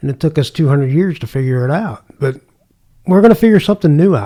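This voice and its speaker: A man speaks at a fairly high pitch with a dark, mellow tone. His voice is somewhat breathy, with ordinary pitch variation. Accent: Midwestern American. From US Midwest, St. Louis area. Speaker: retired homicide detective. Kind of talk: casual interview.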